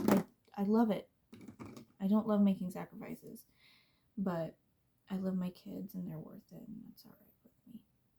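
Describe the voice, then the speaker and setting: A woman speaks at a medium pitch and moderate pace, with long, frequent pauses and monotone, flat intonation. Her dark, mellow tone is somewhat breathy, and her loudness swings widely. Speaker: beauty vlogger. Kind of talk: casual chat.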